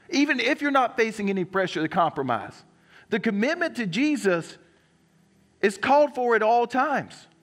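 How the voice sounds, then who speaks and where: A man with a Southern US accent talks at a moderate pace, his pitch extremely high and his intonation lively. The recording is very clean with a silent background. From South Carolina. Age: 30s. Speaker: pastor. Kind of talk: sermon. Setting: church.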